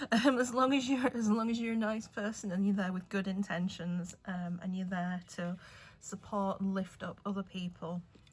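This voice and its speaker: Music plays in the background as a woman with an English accent talks at a moderate pace and medium pitch, with fairly even intonation. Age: 40s. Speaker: nail artist. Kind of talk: casual chat. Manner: younger-sounding voice.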